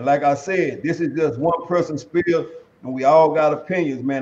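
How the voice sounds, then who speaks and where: A man is speaking at a moderate pace. His pitch is fairly high. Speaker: podcast host. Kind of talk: casual chat. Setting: online livestream. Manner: animated. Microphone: webcam.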